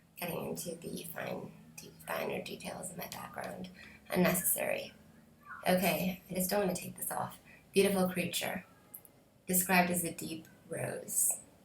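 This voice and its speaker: With an American accent, a woman speaks at a moderate pace, leaving long, frequent pauses, and audible room echo surrounds her voice. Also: big swings in loudness. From Canada. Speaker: beauty vlogger. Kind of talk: product review. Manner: halting, many fillers.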